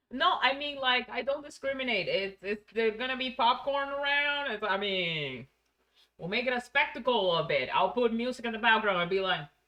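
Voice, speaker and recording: With a Spanish accent, a woman speaks at a moderate pace, her high pitch carried by lively intonation. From Venezuela. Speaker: streamer. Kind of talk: casual chat. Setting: live stream.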